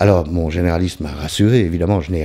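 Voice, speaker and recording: A man speaks with a very deep, low pitch and a dark, mellow tone. The recording is very clean, with a silent background. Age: 60s. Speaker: recovering alcoholic vlogger. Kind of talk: personal testimony vlog. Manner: hesitant, many fillers.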